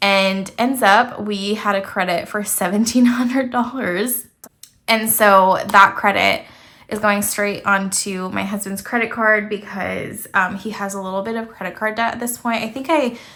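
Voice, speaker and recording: A woman speaks at a medium pitch and a moderate pace, her tone bright and sharp. Her intonation stays fairly even, and the room echo is audible. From Canada, French-speaking. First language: French. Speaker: budgeting YouTuber. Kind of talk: casual vlog talk.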